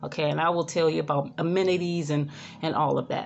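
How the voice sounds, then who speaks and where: Faint music plays in the background as a woman talks in a fairly low voice. Her pitch varies in an ordinary way. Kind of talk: casual vlog chat. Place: home room. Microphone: phone near.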